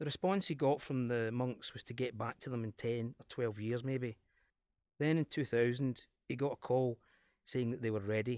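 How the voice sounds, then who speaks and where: In a Glaswegian accent, the speaker has an enthusiastic tone at a moderate pace, with a quiet background and a dry, close sound with no echo. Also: man, medium pitch for a man. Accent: Scottish, Glasgow area. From Glasgow area, Scotland. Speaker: cinema programmer, podcast presenter. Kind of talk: scripted-style podcast presentation about films. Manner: informal, enthusiastic.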